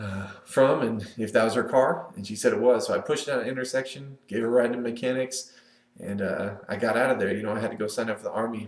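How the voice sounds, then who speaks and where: Here a man speaks at a very fast pace. He has an American accent and a medium pitch. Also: fairly even intonation. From Northern California, US. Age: 20s. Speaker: Air Force member giving a personal video introduction. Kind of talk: personal monologue to webcam. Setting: recorded on webcam. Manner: casual, with many filler words.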